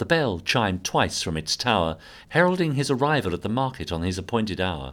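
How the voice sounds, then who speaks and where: The pace is fairly quick. The speaker is a man with a British accent. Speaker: audio drama narrator. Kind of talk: dramatic scripted narration of a Victorian murder story, atmospheric and suspenseful.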